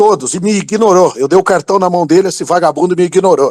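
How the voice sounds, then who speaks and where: Animated and fairly quick, a man speaks in a high pitch, recorded with a dry, close sound and no echo. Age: 50s. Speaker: political commentator. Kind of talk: heated political rant. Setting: online audio chat room.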